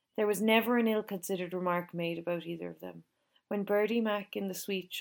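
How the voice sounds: The speaker reads in a natural reading voice while the background stays quiet.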